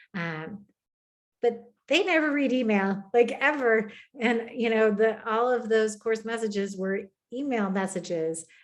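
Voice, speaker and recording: A woman speaks in a plain, everyday voice with an American accent. Her pitch is fairly high, her pitch variation ordinary and her pace fairly slow. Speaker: education technology presenter. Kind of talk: webinar Q&A.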